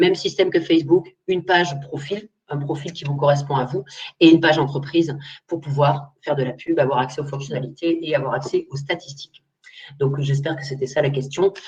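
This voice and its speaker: Fairly quick and somewhat breathy, a woman speaks at a very deep, low pitch. Her intonation stays fairly even. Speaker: social media trainer, agency owner. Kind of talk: webinar Q&A. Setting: online webinar. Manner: fast; casual.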